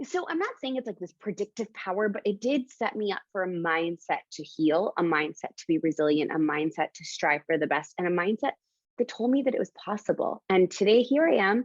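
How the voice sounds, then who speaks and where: A woman of medium pitch talks with an animated tone and hardly any pauses, her pitch swinging very widely and her loudness in big swings. The sound is dry and close, with no echo. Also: fairly quick pace. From Canada. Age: 30s. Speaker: entrepreneur and coach. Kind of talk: podcast interview. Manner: fast.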